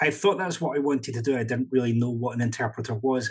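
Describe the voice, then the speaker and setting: With a Scottish accent, a man speaks in a somewhat breathy voice at medium pitch with ordinary pitch variation. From Scotland. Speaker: professional interpreter and consultant. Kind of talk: podcast interview.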